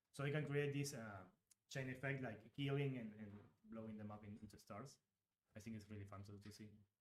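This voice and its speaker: A man with a Uruguayan accent talks at a fairly quick pace in a medium pitch, using ordinary pitch variation, long and frequent pauses, and big swings in loudness, with audible room echo. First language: Spanish. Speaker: game designer. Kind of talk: live stream Q&A chat. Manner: halting, many fillers.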